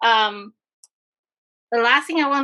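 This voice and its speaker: Against a quiet background, a woman speaks at a moderate pace. Her voice is high, with a bright, sharp tone. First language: not English. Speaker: event host. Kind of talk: online event announcements. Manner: halting.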